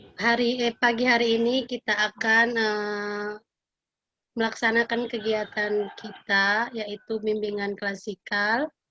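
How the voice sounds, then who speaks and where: A bright, sharp tone comes through at a very slow pace. The intonation is monotone and flat, with long, frequent pauses. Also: woman. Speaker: school counselor. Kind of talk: classroom guidance lesson. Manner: halting, many fillers.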